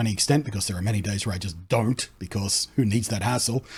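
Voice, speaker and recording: The voice is somewhat breathy. He is a man talking very fast. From Australia. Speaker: content creator. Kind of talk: casual talk to camera.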